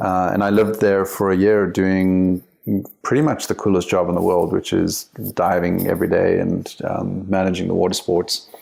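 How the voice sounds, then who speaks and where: With an American accent, a man speaks at a very deep, low pitch, keeping very even loudness and fairly even intonation. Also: moderate pace. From South Africa. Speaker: company CEO and author. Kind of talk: podcast interview. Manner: casual, hesitant with fillers.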